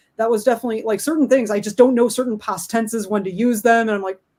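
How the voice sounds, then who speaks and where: A woman's fairly high voice at a very fast pace. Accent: Midwestern. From Chicago area, US Midwest. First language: Spanish. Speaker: book author. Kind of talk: interview.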